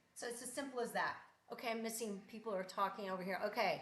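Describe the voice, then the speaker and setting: Audible room echo surrounds a woman as she speaks. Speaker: artist. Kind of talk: live art demonstration. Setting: live stream. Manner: casual, chatty.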